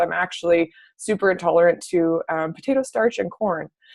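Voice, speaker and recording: A woman talks at a very fast pace, her pitch medium. The background is quiet. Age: 20s. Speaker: fitness coach running an online support group. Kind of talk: group welcome call. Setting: group call. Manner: animated.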